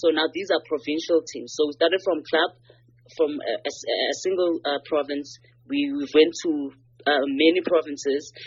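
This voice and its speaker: This woman's pitch is very deep and low. She talks at a moderate pace with fairly even intonation. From South Africa, KwaZulu-Natal. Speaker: rugby player and firefighter. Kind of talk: interview. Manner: halting, repeats words.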